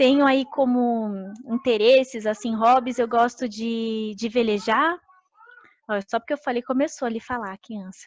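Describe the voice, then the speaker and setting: Speaking fairly slowly, a woman uses a fairly high voice. Her intonation is fairly even. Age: 30s. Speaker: agronomist giving a career talk. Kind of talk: online career presentation with slides. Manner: hesitant, many filler sounds.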